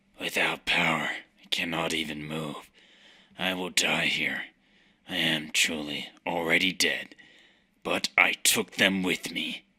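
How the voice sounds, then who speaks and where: A man speaks in a put-on character voice, raspy and very deep. His pace is fairly slow, broken by long, frequent pauses. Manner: grave, solemn.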